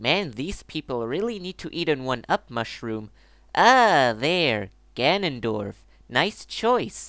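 Someone uses a put-on character voice, pitched low to middle and going at a fairly slow pace.

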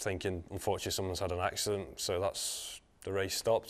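Noticeable background noise sits behind the speech. A man talks at a moderate pace with a fairly low pitch. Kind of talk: interview answer. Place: studio. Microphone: lapel.

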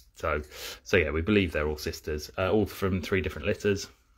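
The voice of a man comes through somewhat breathy over a quiet background. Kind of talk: informal educational talk. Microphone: phone near.

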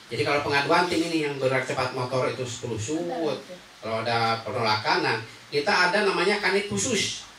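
A man's fairly high, lively voice at a very fast pace with hardly any pauses, over light background noise and audible room echo. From West Java (Sundanese). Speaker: local government enforcement official; guest. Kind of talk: public information talk / interview; interview answer. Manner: halting, many fillers. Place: studio.

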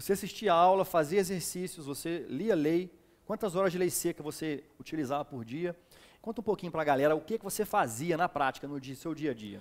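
Talking at a fairly quick pace, a man has a high voice with ordinary pitch variation. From Minas Gerais, Brazil (Ubá); Minas Gerais, Brazil. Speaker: exam prep teacher and interviewer; exam prep teacher, interviewer. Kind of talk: interview. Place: studio. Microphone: headset.

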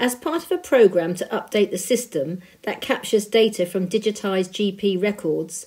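This woman has a dark, mellow tone. She talks at a moderate pace. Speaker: volunteer news reader. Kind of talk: reading aloud.

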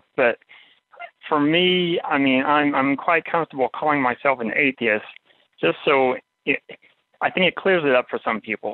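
This man speaks at a moderate pace. The rise and fall of his pitch is ordinary. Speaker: caller. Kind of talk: casual chat. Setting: phone call.

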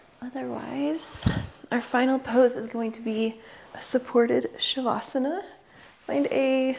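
Here a woman is soft-spoken. Her tone is calm and gentle. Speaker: yoga instructor. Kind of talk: guided meditation. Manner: slow, soft, soothing. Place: home room. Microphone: lapel.

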